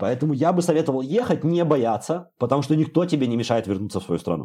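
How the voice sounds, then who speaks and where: The tone here is dark and mellow. This man's delivery comes at a very fast pace. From Belarus, Bobruisk. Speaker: programmer. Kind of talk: casual chat.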